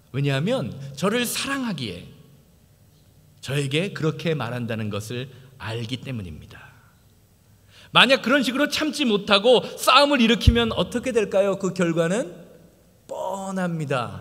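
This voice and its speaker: This man's voice is high-pitched and bright, with a sharp tone and very wide pitch swings. He speaks at a fairly slow pace, with long, frequent pauses. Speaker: pastor. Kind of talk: sermon. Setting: church. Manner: halting, stumbles over words.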